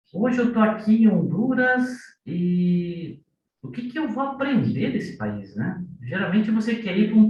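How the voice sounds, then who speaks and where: With audible room echo, a man talks at a fairly slow pace in a high pitch, his voice making very wide pitch swings. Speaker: business consultant, course reader. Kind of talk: online group sharing, testimony. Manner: conversational, reflective.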